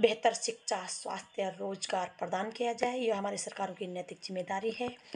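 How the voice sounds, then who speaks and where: The speaker talks with a Garhwali accent and fairly even intonation. Noticeable background noise runs underneath. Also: woman. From Uttarakhand, Garhwal region. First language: Garhwali (speaking Hindi). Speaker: social commentator and poet. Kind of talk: speech to camera on social issues. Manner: earnest, declamatory.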